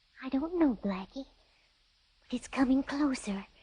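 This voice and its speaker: The speaker performs a put-on character voice, keeping the pace moderate. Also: female-sounding voice, high pitch for a woman. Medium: read story. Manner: soft, hushed.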